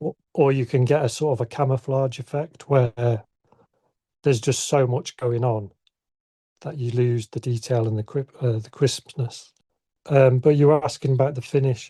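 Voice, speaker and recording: A man with a northern English accent speaks at a moderate pace and medium pitch, in a dark, mellow tone that is somewhat breathy. His intonation is fairly even, and the sound is dry and close with no echo. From northern England, Southport, Lancashire. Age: 60s. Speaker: ceramic artist. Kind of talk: casual interview. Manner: halting.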